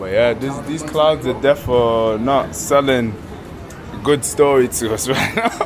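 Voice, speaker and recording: A man speaks with a London accent at a moderate pace. Audible room echo and noticeable background noise are present. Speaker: travel vlogger. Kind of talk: casual vlog chat. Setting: outdoors. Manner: animated.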